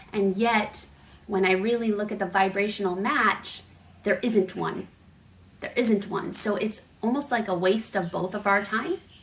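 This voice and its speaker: In an unremarkable speaking voice at a medium pitch, a woman talks at a fairly slow pace with fairly even intonation. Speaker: spiritual coach. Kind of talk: casual vlog message.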